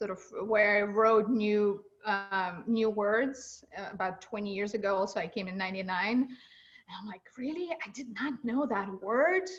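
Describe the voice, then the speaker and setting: A woman speaks at a fairly slow pace with a non-native accent and a somewhat breathy voice. Her loudness swings widely. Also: medium pitch for a woman, ordinary pitch variation. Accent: foreign. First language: not English. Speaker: environmental group chair and show host. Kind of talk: interview.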